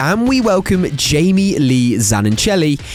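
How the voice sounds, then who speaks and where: Music plays behind a man who speaks at a fairly slow pace in a fairly high pitch with very wide pitch swings. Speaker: radio presenter. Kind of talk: radio news show introduction.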